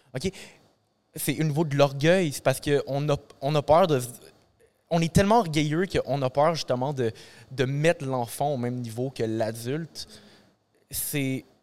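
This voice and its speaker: A man speaks with a Quebec accent at a fairly high pitch. His pace is fairly slow, with long, frequent pauses. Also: ordinary pitch variation. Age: 20s. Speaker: teacher and musician. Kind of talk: casual chat.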